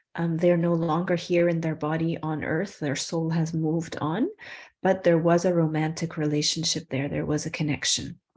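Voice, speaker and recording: Her fairly low pitch and fairly even intonation mark this woman's unremarkable speaking voice, delivered at a moderate pace. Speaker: spiritual workshop teacher. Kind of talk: online workshop teaching; guided breathing meditation.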